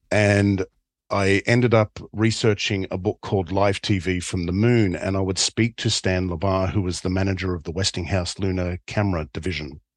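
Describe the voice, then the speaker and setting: At a moderate pace, a man with a very deep, low pitch speaks with fairly even intonation, the sound dry and close with no echo against a quiet background. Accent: Australian. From Australia. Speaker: documentary filmmaker. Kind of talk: interview.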